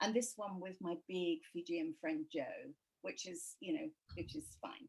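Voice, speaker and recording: A woman in an English accent, fairly high-pitched and somewhat breathy, at a fairly quick pace with very wide pitch swings. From England. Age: 70s. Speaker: author. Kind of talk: interview.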